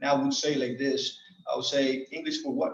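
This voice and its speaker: A man speaks with a Colombian accent. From Medellin, Colombia. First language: Spanish. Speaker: Air Force master sergeant, squadron superintendent. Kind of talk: personal life story told to an audience.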